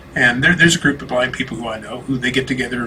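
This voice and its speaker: Talking at a very fast pace, a man speaks at a medium pitch. Noticeable background noise runs underneath. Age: 60s. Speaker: minister with vision loss. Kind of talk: interview conversation. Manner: halting, many fillers and restarts.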